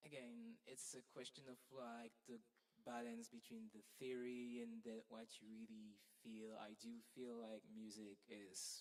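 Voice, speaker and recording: With a French accent, a man speaks at medium pitch and a fairly slow pace in a monotone, flat intonation. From Belgium. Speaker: music student. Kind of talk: workshop. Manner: halting.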